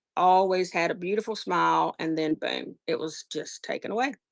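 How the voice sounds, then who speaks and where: A woman with a Southern US accent talks at a moderate pace, the sound dry and close with no echo. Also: very clean recording, silent background. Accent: Southern US, noticeable. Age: 50s. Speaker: online seller. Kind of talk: casual live-stream chat. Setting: live stream.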